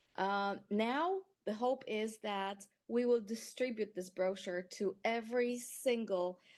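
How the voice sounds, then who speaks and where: A woman with a Polish accent and a fairly high pitch, at a very slow pace with ordinary pitch variation, over a quiet background. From Poland. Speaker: patient advocate. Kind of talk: testimony. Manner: halting.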